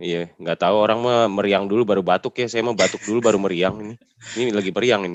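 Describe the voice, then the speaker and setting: The speech runs at a very fast pace with fairly even intonation, in a dry, close sound with no echo. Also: man, fairly low pitch for a man. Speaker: podcast host. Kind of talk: interview. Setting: video call.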